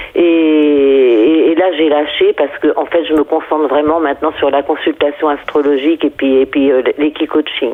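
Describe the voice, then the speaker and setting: Over noticeable background noise, a woman with a very deep, low pitch speaks in a monotone, flat intonation at very even loudness with hardly any pauses. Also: moderate pace. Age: 70s. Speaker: astrologer and equine coach. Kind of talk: interview. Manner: halting.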